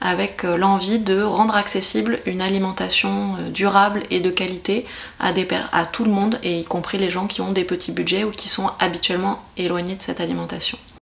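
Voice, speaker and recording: A woman speaks at a moderate pace and a medium pitch. Noticeable background noise runs behind her. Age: 30s. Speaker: local councillor. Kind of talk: interview. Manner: hesitant, many fillers.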